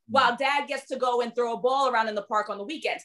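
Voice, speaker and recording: This is a woman with a New York accent. Her voice sits high in pitch. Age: 30s. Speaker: dating and relationship coach. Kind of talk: interview. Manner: not soft-spoken; passionate.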